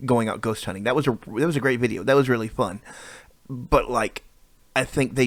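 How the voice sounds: Here the delivery is a natural reading voice. The clip keeps to it throughout.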